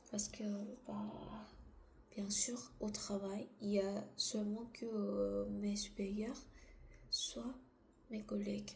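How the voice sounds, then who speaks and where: With a non-native accent, a woman speaks at a very slow pace with long, frequent pauses, amid audible room echo and noticeable background noise. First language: not French (speaking French). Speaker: vlogger. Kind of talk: casual monologue. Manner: halting.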